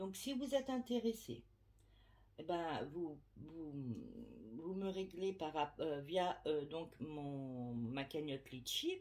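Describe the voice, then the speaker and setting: A woman speaks at a very slow pace with a fairly low pitch. Her long, frequent pauses break up very wide pitch swings. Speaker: medium / tarot reader. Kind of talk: casual vlog to subscribers. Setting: at home, window open. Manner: hesitant, many fillers.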